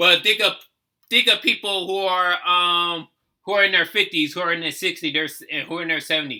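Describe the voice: Bright and sharp in tone, a man with an American accent talks at a fairly quick pace in a high voice with fairly even intonation.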